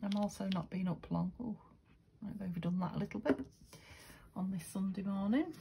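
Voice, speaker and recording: A woman with a dark, mellow tone and a somewhat breathy quality speaks at a fairly quick pace, with ordinary pitch variation and long, frequent pauses. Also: medium pitch for a woman. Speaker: craft video maker. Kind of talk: craft tutorial. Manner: quiet; casual, hesitant.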